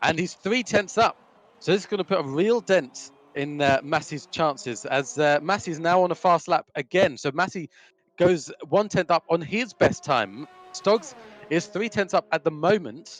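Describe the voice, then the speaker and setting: Music plays in the background as the speaker talks at a moderate pace with lively intonation. The sound is dry and close, with no echo. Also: man, high pitch for a man. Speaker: sim racing commentator. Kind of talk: live commentary. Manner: loud. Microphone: crackling mic.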